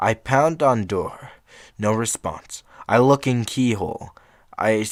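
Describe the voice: The clip is plain reading aloud. Nothing else marks the delivery.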